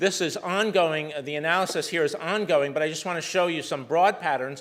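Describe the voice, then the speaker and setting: A man's voice, with ordinary pitch variation, carries audible room echo. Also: fairly high pitch for a man, fairly quick pace. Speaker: malaria researcher. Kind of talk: lecture. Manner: fast.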